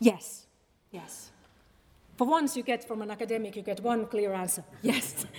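A woman with a fairly high voice speaks at a moderate pace, with ordinary pitch variation, big swings in loudness, and long, frequent pauses. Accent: Finnish. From Finland. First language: Finnish. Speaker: academic researcher on populism. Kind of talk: public talk; audience Q&A. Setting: stage with audience. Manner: halting.

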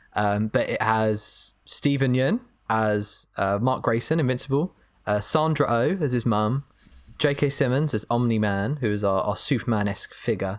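With a plain, everyday voice, a man talks at a moderate pace and medium pitch, his pitch varying in an ordinary way and his loudness very even, on a very clean recording with a silent background. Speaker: film podcast co-host. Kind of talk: casual chat.

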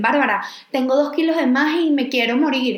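Audible room echo surrounds a woman speaking at a high pitch with ordinary pitch variation. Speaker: podcast co-host. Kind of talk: casual chat.

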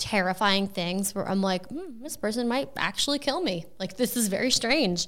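A woman in an ordinary speaking voice, medium in pitch, at a moderate pace. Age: 30s. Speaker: content creator. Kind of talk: casual chat.

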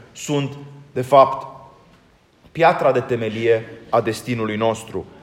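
A man talks at a fairly slow pace. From Romania. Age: 40s. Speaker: Orthodox priest. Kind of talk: sermon.

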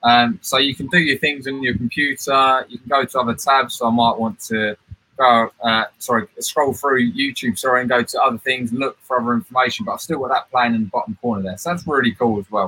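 In a British accent, a man speaks at a medium pitch with ordinary pitch variation. His pace is fairly quick, with hardly any pauses. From United Kingdom. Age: 20s. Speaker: certified technology trainer. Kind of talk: tutorial. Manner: fast talker.

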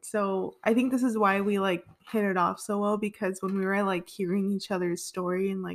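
A woman's medium-pitched voice, fairly quick and flat in intonation. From Southern California, Los Angeles area. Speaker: podcast co-host. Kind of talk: casual chat.

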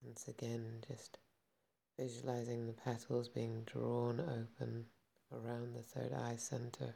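A man talks at a fairly slow pace in a calm, soothing, dark and mellow tone that is somewhat breathy. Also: medium pitch for a man, fairly even intonation. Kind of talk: guided meditation. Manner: slow, calm and soothing, with long pauses; gentle, unhurried, instructive.

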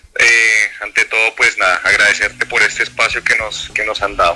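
With noticeable background noise present, a man speaks at a moderate pace. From Colombia. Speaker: rock band musician. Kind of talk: interview.

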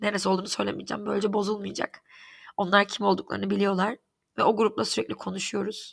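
Speaking at a very fast pace, a woman is heard on a very clean recording with a silent background. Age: 30s. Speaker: podcast host. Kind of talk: personal monologue. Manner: halting, many fillers.

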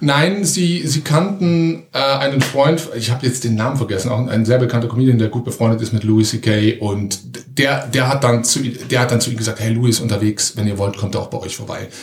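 Lively intonation and hardly any pauses over noticeable background noise. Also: man, medium pitch for a man. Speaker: amateur comedian. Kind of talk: casual interview chat. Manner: fast.

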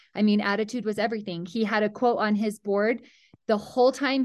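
Over a quiet background, a woman with a Utah accent speaks at a moderate pace in a fairly high voice with monotone, flat intonation. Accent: Utah American. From central Utah (Mount Pleasant). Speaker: high school athletic director. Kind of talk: podcast interview.

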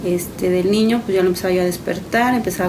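A woman with a fairly low voice and ordinary pitch variation talks at a very fast pace amid noticeable background noise and audible room echo. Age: 30s. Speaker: mother and caregiver. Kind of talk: testimony.

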